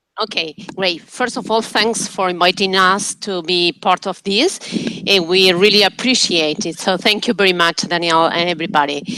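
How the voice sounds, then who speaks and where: A woman speaks at a medium pitch with ordinary pitch variation, and noticeable background noise runs under her voice. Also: moderate pace. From Uruguay. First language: Spanish. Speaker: professor. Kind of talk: self-introduction in online meeting. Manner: halting.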